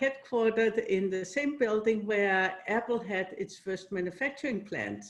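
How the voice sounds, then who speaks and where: Against a quiet background, a woman with a Danish accent speaks at medium pitch with ordinary pitch variation. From Denmark. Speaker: company CEO. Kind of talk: interview.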